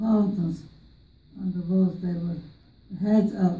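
In an Armenian accent, the speaker's somewhat breathy voice has a dark, mellow tone, with audible room echo. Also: woman. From Turkey, Armenian community. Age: 80s+. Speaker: genocide survivor; interviewee. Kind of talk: testimony. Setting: stage with audience. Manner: talkative. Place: classroom. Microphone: handheld.

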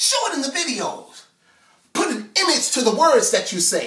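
A raised, projected voice with an American accent at a moderate pace, audible room echo and a quiet background. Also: man. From Chicago. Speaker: spoken word artist. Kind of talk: spoken word poetry performance. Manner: rhythmic, emphatic. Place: home room. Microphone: camera far.

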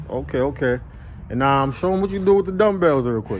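A man talking at a very fast pace over light background noise. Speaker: fitness vlogger interviewer. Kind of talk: casual talk to camera. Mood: upbeat, encouraging. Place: open country. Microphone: phone near.

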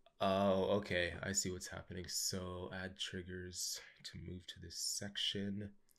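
Over a quiet background, a man with a Canadian accent speaks at a fairly slow pace in a very deep, low pitch. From Canada. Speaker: YouTube software tutorial host. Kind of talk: screen-share tutorial. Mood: curious, impressed.

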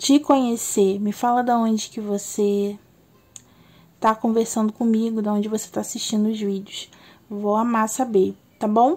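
Her fairly high-pitched voice has a dark, mellow tone and is somewhat breathy. The woman keeps fairly even intonation and leaves long, frequent pauses. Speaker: tarot reader. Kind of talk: tarot reading video intro. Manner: slow.

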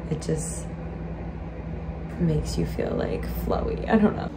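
A woman speaks at a fairly slow pace. Loud background noise fills the clip. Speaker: vlogger. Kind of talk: casual vlog chat. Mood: cheerful, relaxed. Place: home room. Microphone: phone near.

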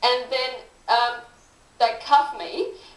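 Audible room echo colors the recording. The voice belongs to a woman with a high pitch. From Australia. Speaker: political candidate and teacher; candidate, teacher. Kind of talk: interview. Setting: studio. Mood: aggrieved, earnest. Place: studio.

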